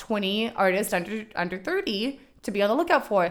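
An animated woman with very wide pitch swings, in a very clean recording with a silent background. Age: 20s. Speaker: photographer and video artist. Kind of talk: casual interview chat.

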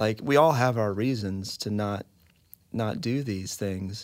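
A man has a normal speaking voice at a fairly low pitch. The recording is very clean, with a silent background. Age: 30s. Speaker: adoptive and foster parent. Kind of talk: casual interview conversation.

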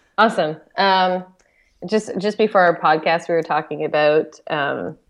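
A woman uses a plain, everyday voice, fairly low in pitch, at a moderate pace with ordinary pitch variation. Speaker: camp director. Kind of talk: casual chat.

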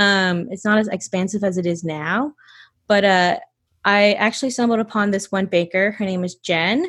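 A woman with an American accent speaks at a medium pitch and moderate pace, with ordinary pitch variation and a plain, everyday voice. The recording is very clean with a silent background. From US South, North Georgia. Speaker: baker and bakery owner. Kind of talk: casual interview.

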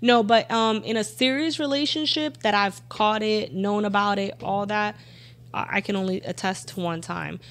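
A woman speaks at a moderate pace with medium pitch and lively intonation. It is a plain, everyday voice. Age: 30s. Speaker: podcast guest. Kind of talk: casual chat.

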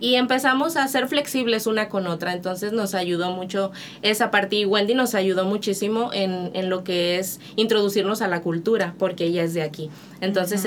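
Noticeable background noise sits under a woman's medium-pitched voice, which keeps a moderate pace and ordinary pitch variation. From Monterrey, Mexico. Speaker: missionary. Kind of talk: testimony.

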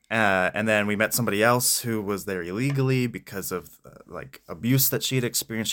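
At a fairly quick pace with hardly any pauses, a man with an American accent and a normal speaking voice talks at a medium pitch with ordinary pitch variation, on a very clean recording with a silent background. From Pennsylvania, US (Spring Grove). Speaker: missionary. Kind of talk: interview.

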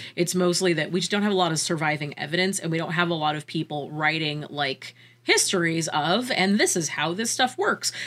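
A woman's unremarkable speaking voice, fairly low in pitch, at a fairly quick pace with ordinary pitch variation. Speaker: podcast host.

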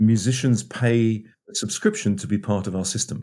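The man's voice sits at a medium pitch with a dark, mellow tone. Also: very clean recording, silent background. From northeast England. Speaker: media company founder and CEO. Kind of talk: interview.

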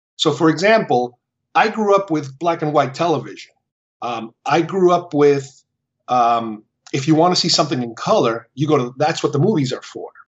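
A man with a Spanish accent, fairly high in pitch, at a moderate pace with lively intonation. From Uruguay, Montevideo. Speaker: film fan. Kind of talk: interview. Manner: halting, many fillers.

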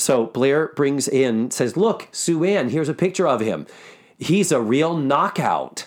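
An unremarkable speaking voice with lively intonation moves at a fairly slow pace with very even loudness, on a very clean recording with a silent background. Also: man, fairly high pitch for a man. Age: 50s. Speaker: podcast host and actor. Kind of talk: casual chat. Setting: office.

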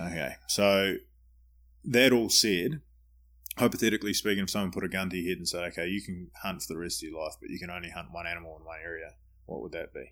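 With a New Zealand accent, a man with a very deep, low pitch speaks at a very fast pace, using ordinary pitch variation and big swings in loudness. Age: 30s. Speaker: podcast host. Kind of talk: casual interview; scripted introduction.

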